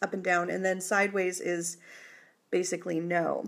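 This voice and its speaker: The recording is very clean, with a silent background. A woman talks at a medium pitch. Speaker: psychic tarot reader. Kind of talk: live tarot reading. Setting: live stream. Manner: hesitant, many fillers.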